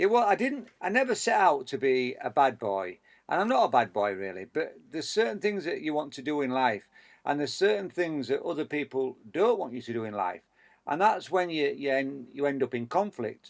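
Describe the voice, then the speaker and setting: On a very clean recording with a silent background, a man speaks in a Yorkshire accent. His fairly high voice swings very widely in pitch at a fairly quick pace. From northern England, Leeds. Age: 50s. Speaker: engineer and pilot. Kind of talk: interview.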